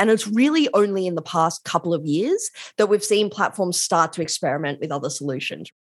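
A woman with an Australian accent, fairly low pitch and lively intonation, at a fairly quick pace on a very clean recording with a silent background. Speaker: law and tech policy academic. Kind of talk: interview. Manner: casual.

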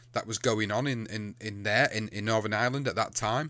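Recorded very cleanly with a silent background, a man with an English accent speaks at medium pitch and a fairly quick pace, his pitch varying in an ordinary way. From England. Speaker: podcast host. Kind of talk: casual chat.

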